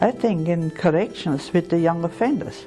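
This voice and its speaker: A woman's fairly low voice at a moderate pace, with music in the background. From Austria. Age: 80s+. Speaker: retired nurse. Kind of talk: interview answer.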